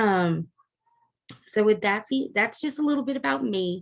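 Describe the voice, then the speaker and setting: Against a quiet background, a woman with a Louisiana accent talks at a fairly slow pace. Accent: Southern US, Louisiana. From US South, South Louisiana. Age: 40s. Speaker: online course instructor. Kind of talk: course orientation lecture. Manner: casual, frequent filler 'um'.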